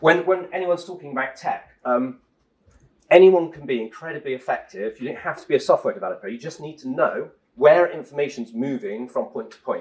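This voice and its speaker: A man with an English accent talks at a fairly quick pace. His loudness swings widely. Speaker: tech company co-founder giving a talk. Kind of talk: conference talk. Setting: stage with audience. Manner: fast.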